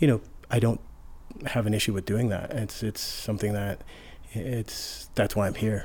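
Somewhat breathy, a man with an American accent speaks fairly slowly in a fairly low voice, with fairly even intonation and long, frequent pauses. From Colorado, Denver suburbs. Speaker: bike shop owner. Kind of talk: casual interview conversation. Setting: bike shop. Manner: halting, with repeated words.

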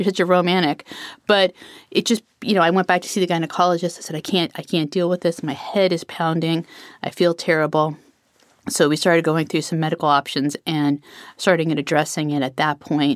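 A normal speaking voice at a fairly quick pace with fairly even intonation, dry and close with no echo, on a very clean recording with a silent background. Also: woman, fairly low pitch for a woman. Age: 50s. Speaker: sales consultant. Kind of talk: personal testimony.

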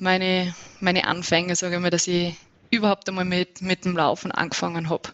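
A woman with an Innsbruck accent, fairly low in pitch, monotone and flat in intonation, at a moderate pace. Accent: Austrian, some Innsbruck dialect. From Upper Austria. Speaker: trail runner. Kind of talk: interview.

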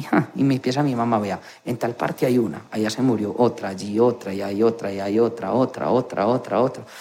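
Over noticeable background noise, a man talks at a moderate pace. His pitch is medium. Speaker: nurse. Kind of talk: interview testimony.

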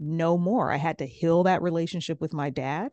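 Against a quiet background, a woman speaks at a moderate pace and a fairly low pitch. She has an unremarkable speaking voice. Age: 40s. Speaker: life coach. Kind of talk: interview.

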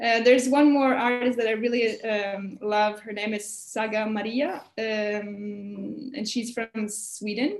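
Over noticeable background noise, a woman talks at a very slow pace with hardly any pauses, a fairly high pitch and fairly even intonation. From Russia. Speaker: botanical illustrator. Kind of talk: interview. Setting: video call.

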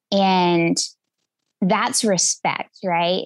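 A woman with a Southern US accent, at a very slow pace. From West Tennessee. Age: 40s. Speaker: hunter and podcaster. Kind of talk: interview conversation.

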